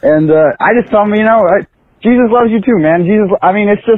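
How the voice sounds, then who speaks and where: Lively intonation at a very fast pace from a man with an American accent. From US inner city. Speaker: caller. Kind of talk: recorded voicemail call. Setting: phone call.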